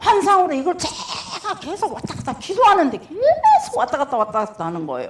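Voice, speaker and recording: The tone is animated. The pace is fairly quick. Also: woman. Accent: strong Jeolla. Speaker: pastor's wife, church speaker. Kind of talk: sermon testimony.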